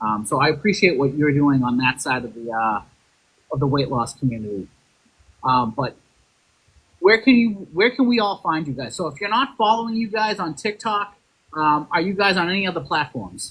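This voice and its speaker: This man's voice sits fairly high and rises and falls over a very wide range. He talks at a moderate pace. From Boston, Massachusetts. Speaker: podcast host. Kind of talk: casual chat.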